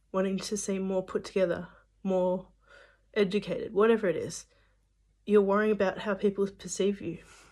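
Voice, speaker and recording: A woman's medium-pitched, dark, mellow voice, monotone and flat, at a fairly quick pace with long, frequent pauses, on a very clean recording with a silent background. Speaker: religious video maker. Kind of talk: casual encouragement talk to camera. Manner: halting, stumbles over words; uses many fillers.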